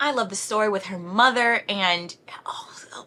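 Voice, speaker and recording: A woman's bright, sharp, medium-pitched voice, fairly slow, with lively intonation. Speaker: book vlogger. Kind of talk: casual vlog talk to camera.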